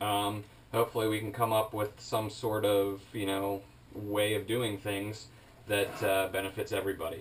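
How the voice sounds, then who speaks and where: Somewhat breathy and fairly low-pitched, the man speaks at a moderate pace in a flat monotone. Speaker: reptile breeder. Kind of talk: casual tutorial monologue. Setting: alone in reptile room filmed on GoPro. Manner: halting, full of fillers.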